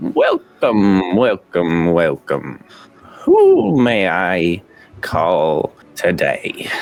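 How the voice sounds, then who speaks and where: A man puts on a character voice with a fairly low pitch. He talks at a very slow pace. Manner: welcoming, eerie.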